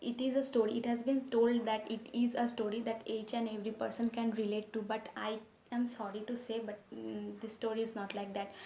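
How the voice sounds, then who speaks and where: Over noticeable background noise, a woman talks at a fairly quick pace with hardly any pauses, using a fairly high pitch and monotone, flat intonation. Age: 20s. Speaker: book reviewer. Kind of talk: casual book review to camera.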